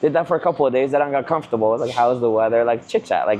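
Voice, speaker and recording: A man rattles along at a very fast pace, his medium pitch showing ordinary pitch variation. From Canada (immigrated as a teen). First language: not English. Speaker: real estate agent, vlogger. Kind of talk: casual chat. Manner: animated.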